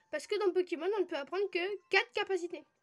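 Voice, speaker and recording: Over music in the background, a woman with an extremely high pitch talks at a moderate pace, keeping her intonation fairly even. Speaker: gaming youtuber. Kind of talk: let's play commentary.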